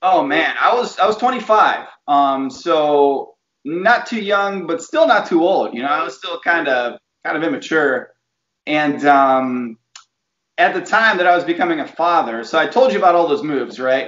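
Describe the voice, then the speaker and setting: Audible room echo carries a man's voice, which has lively intonation. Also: moderate pace. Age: 30s. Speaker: TV meteorologist. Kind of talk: casual chat. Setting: video call. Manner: animated. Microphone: video call.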